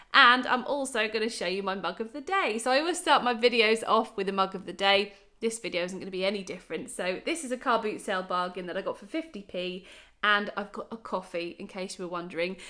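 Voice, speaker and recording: A woman with an English accent talks at a very fast pace in an animated, bright, sharp tone at medium pitch. Her pitch variation is ordinary, while her loudness swings widely. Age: 30s. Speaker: YouTuber sharing bargain-hunting tips. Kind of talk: casual vlog tutorial.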